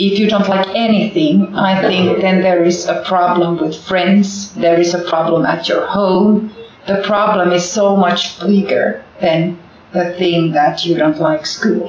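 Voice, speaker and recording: A woman with a Finnish accent at medium pitch, fairly slow, monotone and flat, very even in loudness, with audible room echo and noticeable background noise. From Finland. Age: 40s. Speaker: primary school teacher. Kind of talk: interview. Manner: halting.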